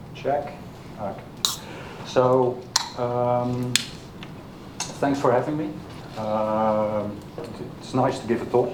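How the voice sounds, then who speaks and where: A man with a Dutch accent speaks at a very slow pace in a medium pitch, his intonation fairly even. Long, frequent pauses break up his words, with audible room echo and noticeable background noise. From Netherlands. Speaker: software developer, conference speaker. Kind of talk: technical talk. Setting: meetup stage with audience. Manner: halting, many fillers.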